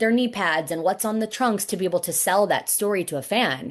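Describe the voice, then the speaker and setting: A woman at a medium pitch and moderate pace, with ordinary pitch variation, an ordinary speaking voice and a quiet background. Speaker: wrestling ring announcer. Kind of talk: interview answer.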